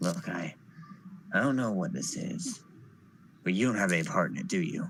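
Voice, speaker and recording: A man uses a put-on character voice that is raspy, with a medium pitch. He speaks at a moderate pace with very wide pitch swings. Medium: actual play.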